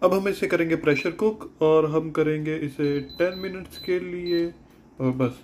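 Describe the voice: A man's slightly mellow voice comes through with audible room echo.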